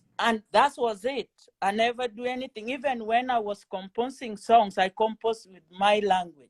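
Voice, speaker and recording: In a Kenyan accent, a woman with a fairly high pitch speaks at a moderate pace with fairly even intonation and big swings in loudness, the sound dry and close with no echo. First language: Kenyan mother tongue and Swahili. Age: 40s. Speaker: trading student. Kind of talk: interview. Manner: halting.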